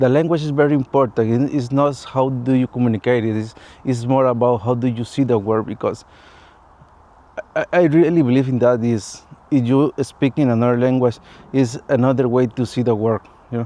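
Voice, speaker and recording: A man speaks at a fairly quick pace with a Latin American accent. His medium-pitched voice keeps a fairly even intonation. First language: Spanish. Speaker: vlogger. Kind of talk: personal vlog monologue. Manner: halting, non-fluent English.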